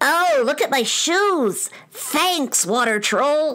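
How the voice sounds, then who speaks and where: Very slow and high-pitched, this is a put-on character voice. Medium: audio drama.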